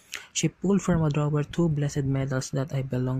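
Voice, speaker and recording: Delivered at a moderate pace, an unremarkable speaking voice keeps a fairly even intonation. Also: man. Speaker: storyteller reading creepy stories. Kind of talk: scripted horror narration.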